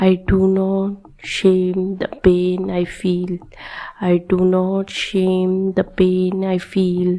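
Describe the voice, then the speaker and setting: At a very slow pace, a woman speaks with monotone, flat intonation. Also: medium pitch for a woman. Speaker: meditation guide. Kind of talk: guided meditation. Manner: whispered.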